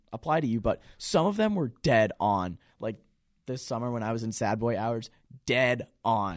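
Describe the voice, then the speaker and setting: The speaker is a man with an American accent. He keeps a moderate pace on a very clean recording with a silent background. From central Massachusetts, near Worcester. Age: 20s. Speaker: college student podcast co-host. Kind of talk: casual chat.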